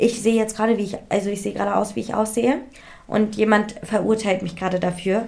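A woman has a normal speaking voice at medium pitch. Her intonation stays fairly even. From India. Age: 20s. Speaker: influencer and model. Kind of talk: casual chat.

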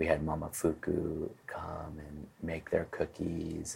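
With an American accent, a man is talking. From Los Angeles, US. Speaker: fashion designer and restaurateur. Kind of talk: interview.

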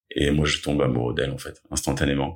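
With vocal fry and a very deep, low pitch, a man talks in a monotone, flat intonation. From Paris suburbs, Essonne. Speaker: attack survivor. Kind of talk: testimony. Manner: hesitant, many filler sounds.

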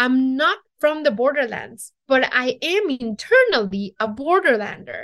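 With a Mexican accent, a woman speaks at a fairly slow pace, her high pitch making very wide swings. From Mexico City, Mexico. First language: Spanish. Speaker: chef and TV cooking show host. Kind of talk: interview conversation.

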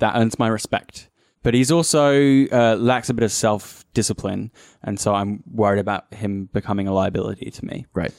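Recorded with a dry, close sound and no echo, a man with an Australian accent speaks at a moderate pace in a fairly low voice with ordinary pitch variation. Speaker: tabletop RPG player. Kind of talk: casual chat.

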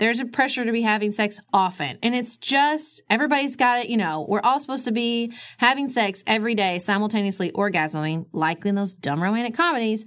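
A woman's ordinary speaking voice, fairly high-pitched, at a fairly quick pace with lively intonation and hardly any pauses. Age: 30s. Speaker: lawyer and podcast host. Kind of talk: casual chat.

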